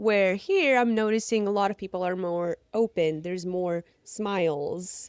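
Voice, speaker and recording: A woman speaks with a Ukrainian accent and ordinary pitch variation. Her pace is fairly slow, with hardly any pauses. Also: medium pitch for a woman, dry, close sound with no echo, very clean recording, silent background. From Ukraine. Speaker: pole dancer and fitness entertainer. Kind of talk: casual interview chat.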